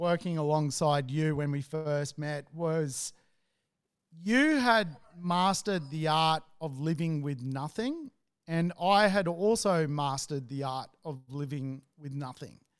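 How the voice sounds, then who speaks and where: A man with an Australian accent, fairly high pitch, lively intonation and a very slow pace, in a very clean recording with a silent background. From Australia, Sydney. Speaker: real estate investor. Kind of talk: casual chat. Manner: halting.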